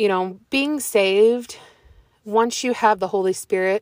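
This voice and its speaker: In an ordinary speaking voice, a woman talks at a medium pitch with fairly even intonation, the sound dry and close with no echo. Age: 20s. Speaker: podcast host. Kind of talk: casual Bible reflection monologue. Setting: in a car. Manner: casual with many fillers.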